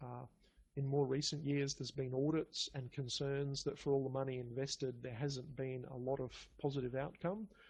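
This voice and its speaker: In a strong Australian accent, a man speaks at a moderate pace with a fairly high pitch. His voice is somewhat breathy, with fairly even intonation. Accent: broad Australian. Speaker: pathology lab biochemistry manager. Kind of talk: conference talk. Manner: halting, many fillers and repeats.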